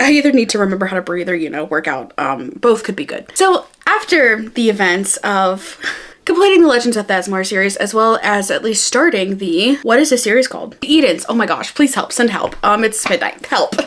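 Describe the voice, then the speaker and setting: The voice is animated, with very wide pitch swings, a fairly quick pace and hardly any pauses. Noticeable background noise runs underneath. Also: woman, fairly high pitch for a woman. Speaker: booktuber. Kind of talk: casual book review vlog. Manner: fast when excited.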